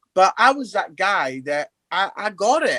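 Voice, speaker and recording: A man with a British accent projects a raised, high-pitched voice with a bright, sharp tone, lively intonation and a fairly slow pace. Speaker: comedian and evangelist. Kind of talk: casual interview chat.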